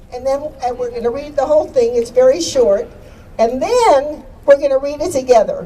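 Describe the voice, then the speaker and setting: A woman with a high pitch speaks in an animated tone at a moderate pace, with ordinary pitch variation over noticeable background noise. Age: 80s+. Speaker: activist and radio host. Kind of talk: rally speech. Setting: outdoor rally with crowd.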